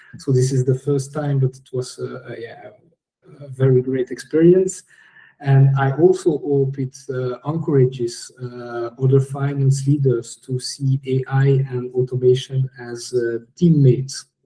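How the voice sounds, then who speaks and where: At a fairly slow pace, a man with a medium pitch and a dark, mellow, somewhat breathy tone talks in a monotone, flat way, with big swings in loudness. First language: French. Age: 30s. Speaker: finance director. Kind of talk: interview podcast. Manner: halting, many fillers.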